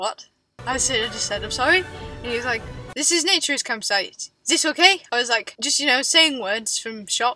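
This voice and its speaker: A woman with an English accent in a raised, projected voice, high-pitched with lively intonation, at a moderate pace over music in the background. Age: 20s. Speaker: travel vlogger. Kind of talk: story time to camera. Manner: high pitched when embarrassed.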